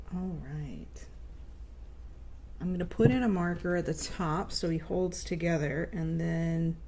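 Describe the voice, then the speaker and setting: With audible room echo, a woman speaks at a fairly slow pace, leaving long, frequent pauses. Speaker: crochet livestreamer. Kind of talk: casual livestream chat while crafting.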